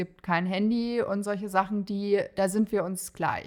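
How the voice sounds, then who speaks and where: On a very clean recording with a silent background, a woman speaks at a fairly slow pace in a medium pitch. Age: 20s. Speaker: mother in training as an educator. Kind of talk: personal story interview.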